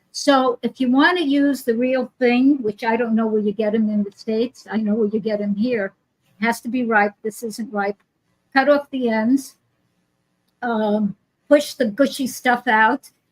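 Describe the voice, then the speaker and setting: A woman's fairly high voice with an American accent, dry and close with no echo, over music in the background. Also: fairly even intonation, fairly slow pace. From New York. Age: 80s. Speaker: healer and teacher. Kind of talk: casual interview.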